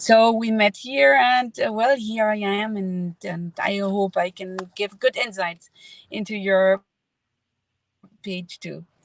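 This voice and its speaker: Speech comes at a very slow pace with ordinary pitch variation and big swings in loudness. The sound is dry and close, with no echo. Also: woman, medium pitch for a woman. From Mexico. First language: Spanish. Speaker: veterinarian turned online entrepreneur. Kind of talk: casual interview.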